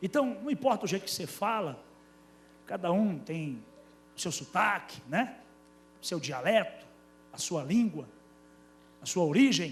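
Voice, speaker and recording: The speaker has a northeastern Brazilian accent and very wide pitch swings. The pace is fairly slow, with long, frequent pauses. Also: man, high pitch for a man. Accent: northeastern Brazilian, somewhat drawling. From Brazilian Northeast, Paraíba (Campina Grande). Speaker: pastor. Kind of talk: sermon. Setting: church.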